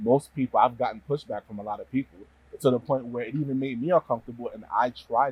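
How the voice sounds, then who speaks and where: The speaker talks at a very fast pace. There is a slight New Jersey accent. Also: man. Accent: slight New Jersey city. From New Jersey, US. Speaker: community member sharing experience. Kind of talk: testimony.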